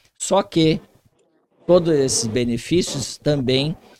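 Very slowly, a man speaks at a fairly high pitch. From Brazil, Vale do Paraíba (São Paulo state). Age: 60s. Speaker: police chief. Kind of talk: interview.

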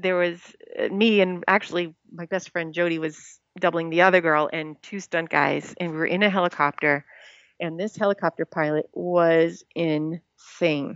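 A woman speaks in an American accent at a moderate pace, with an unremarkable speaking voice. Her pitch is fairly low and her intonation fairly even. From Rhode Island, US. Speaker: stuntwoman. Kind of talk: interview. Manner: casual, conversational.

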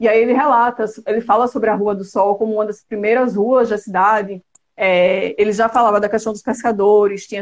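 Monotone and flat, a woman's medium-pitched voice runs at a fairly quick pace with hardly any pauses. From Brazil, Alagoas (Penedo). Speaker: architect and photographer. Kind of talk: casual live interview.

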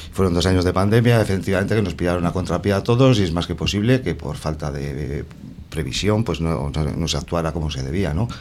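A man speaks very fast in a very deep, low voice with vocal fry and ordinary pitch variation. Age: 50s. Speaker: councillor, election candidate and teacher. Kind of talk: radio election debate. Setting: radio studio.

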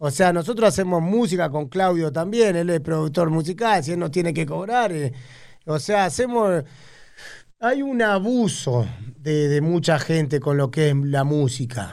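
Lively in intonation, a man with an Argentine accent and a fairly high pitch speaks at a fairly slow pace. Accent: Rioplatense Argentine Spanish. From Argentina, Buenos Aires north zone (Tigre). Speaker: cumbia singer and band leader. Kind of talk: casual interview chat.

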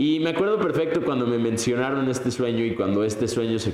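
Amid noticeable background noise and audible room echo, a man talks at a fairly quick pace, his medium pitch varying in an ordinary way. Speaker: podcast host. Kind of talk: motivational monologue. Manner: animated.

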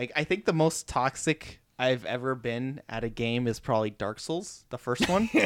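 A man's normal speaking voice at a medium pitch, with ordinary pitch variation, a moderate pace and hardly any pauses, in a very clean recording with a silent background. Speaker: podcast host. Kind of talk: casual chat.

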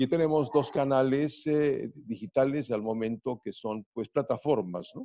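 Speaking at a fairly slow pace, a man has a medium pitch and a dark, mellow tone, heard in a dry, close sound with no echo. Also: ordinary pitch variation. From Ecuador, Riobamba, raised in Guayaquil and Quito. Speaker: radio announcer and sports commentator. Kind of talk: interview.

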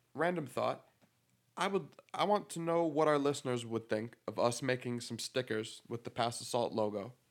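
A man with an American accent and a plain, everyday voice, medium in pitch, lively in intonation, at a moderate pace. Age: 20s. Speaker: barber and podcast co-host. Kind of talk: casual chat. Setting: home recording, handheld mics.

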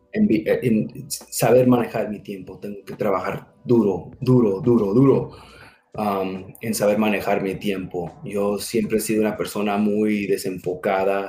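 A man with an English accent, a dark, mellow tone, fairly low pitch, fairly even intonation and a fairly slow pace. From US, raised from age two, born in Mexico. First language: English (speaking Spanish). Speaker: security manager, military veteran. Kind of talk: interview.

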